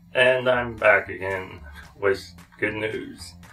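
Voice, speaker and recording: Faint music plays in the background. A man speaks very slowly over it. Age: 30s. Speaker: vlogger. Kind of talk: casual talk to camera. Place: home room.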